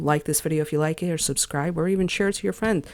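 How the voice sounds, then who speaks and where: In a very clean recording with a silent background, a woman talks fairly quickly in an unremarkable speaking voice, her pitch fairly low with ordinary variation. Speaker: gaming news YouTuber. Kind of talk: casual video outro. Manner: casual, filler-heavy.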